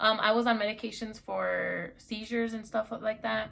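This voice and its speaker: A somewhat breathy woman's voice. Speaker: YouTuber vlogger. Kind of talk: personal story vlog. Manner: casual, halting.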